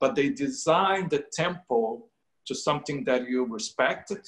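Against a quiet background, a man with a Brazilian Portuguese accent speaks with very wide pitch swings. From Brazil, Rio de Janeiro. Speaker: painter. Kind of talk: interview. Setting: video call. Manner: halting. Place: home room. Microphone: video call.

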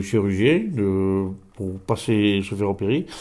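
A man's dark, mellow tone at a fairly slow pace. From France, Gers; France. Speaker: folk healer; interviewee. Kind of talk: interview; interview answer. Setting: at his home. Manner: halting, many repetitions. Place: home room. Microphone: handheld.

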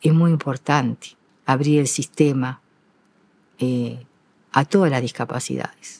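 A woman's very deep, low voice with fairly even intonation, a fairly slow pace and long, frequent pauses. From Uruguay. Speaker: retired school teacher and principal; retired school teacher. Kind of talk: interview. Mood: calm, reflective, proud. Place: stage. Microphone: lapel.

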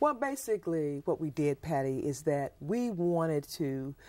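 With a Southern US accent, a woman with a fairly low voice speaks at a very slow pace against a quiet background. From US South, Mississippi. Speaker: school principal, nutrition advocate. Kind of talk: interview. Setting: studio. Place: studio.

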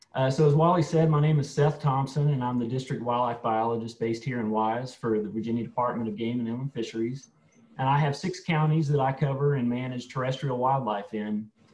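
A man talks at a fairly quick pace with hardly any pauses, sounding somewhat breathy, with ordinary pitch variation. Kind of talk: lecture. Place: home room. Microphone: video call.

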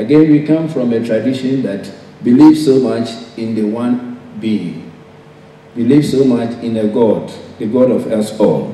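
Audible room echo surrounds a man's voice. His pitch varies in an ordinary way. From Ghana. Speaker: professor. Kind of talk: conference speech. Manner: formal. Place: hall. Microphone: podium.

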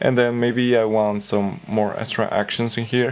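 The man talks at a fairly slow pace. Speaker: software tips creator. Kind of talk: tutorial. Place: home room.

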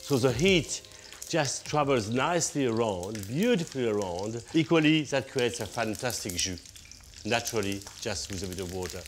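Music plays behind a man who speaks at a moderate pace with lively intonation. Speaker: TV presenter. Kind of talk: cooking show tutorial. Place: kitchen.

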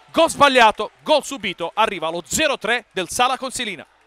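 A man speaks in a raised, projected voice with very wide pitch swings. His tone is bright and sharp. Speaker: sports commentator. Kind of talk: live sports commentary, futsal match. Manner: fast, rapid-fire play-by-play, excited; repeats player names in bursts, rising intensity on chances and goals.

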